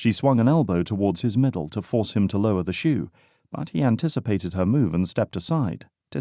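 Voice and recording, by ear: The clip is reading aloud in a natural voice, with lively intonation. The background is quiet.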